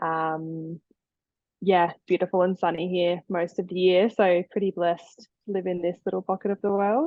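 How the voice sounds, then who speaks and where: The voice carries an Australian accent and monotone, flat intonation. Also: woman, medium pitch for a woman, moderate pace. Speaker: osteopath. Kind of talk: podcast interview. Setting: remote call.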